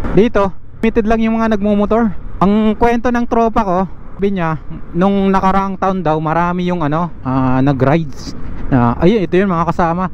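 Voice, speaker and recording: Noticeable background noise sits behind a man with a high pitch for a man. He talks at a moderate pace with ordinary pitch variation. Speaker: motovlogger. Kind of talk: motorcycle vlog narration. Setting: riding a motorcycle outdoors. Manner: casual, halting with fillers.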